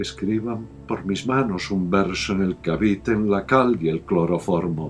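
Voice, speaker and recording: Over background music, a man speaks at a very slow pace. His intonation is lively. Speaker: poetry reciter. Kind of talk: poetry reading.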